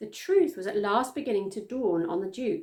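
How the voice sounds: A woman speaks at a moderate pace with a medium pitch. Her tone is slightly mellow and her intonation lively.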